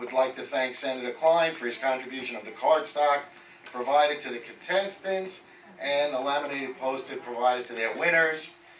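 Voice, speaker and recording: Amid noticeable background noise and audible room echo, a man with a fairly high pitch speaks with big swings in loudness. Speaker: community board committee chair. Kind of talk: committee report at public meeting. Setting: public board meeting.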